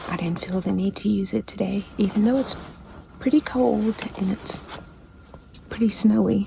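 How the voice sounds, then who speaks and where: A woman whispers, leaving long, frequent pauses. Noticeable background noise is audible. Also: moderate pace. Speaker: hunter. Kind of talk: casual vlog talk to camera. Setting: outdoors, hunting blind in snow. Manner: whispered.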